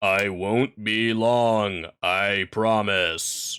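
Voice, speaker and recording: A man puts on a character voice at a fairly low pitch in a very clean recording with a silent background. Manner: monotone.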